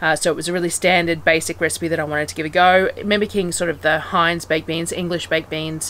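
A woman with a fairly low pitch speaks over light background noise. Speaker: homestead vlogger. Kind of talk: casual vlog chat. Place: open country. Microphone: phone near.

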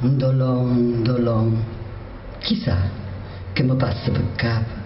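In a Lazio accent, a woman with a very deep, low pitch speaks at a very slow pace, with audible room echo and light background noise. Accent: Gaeta dialect. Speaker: poet. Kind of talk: poetry reading. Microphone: podium.

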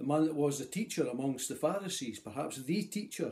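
Somewhat breathy male voice, dark and mellow in tone, with lively intonation at a moderate pace. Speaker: lay preacher. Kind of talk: sermon. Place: home room. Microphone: phone near.

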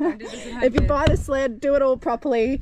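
Dry, echo-free female speech with light noise behind it. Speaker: vlogger. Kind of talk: casual vlog chat. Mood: playful, laughing often. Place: street. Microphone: phone near.

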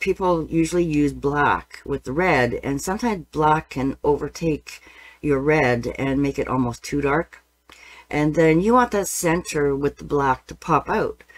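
A woman with a very deep, low pitch speaks at a fairly slow pace, using ordinary pitch variation. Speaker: painting teacher. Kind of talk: tutorial. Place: studio. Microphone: webcam.

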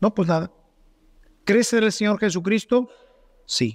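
In a Mexican accent, a man talks in an animated tone with ordinary pitch variation, the sound dry and close with no echo. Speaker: priest. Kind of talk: sermon. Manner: rhetorical.

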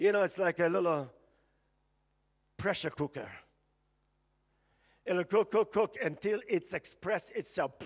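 A man speaks at a high pitch and a fairly slow pace. Long pauses come often. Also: ordinary pitch variation.

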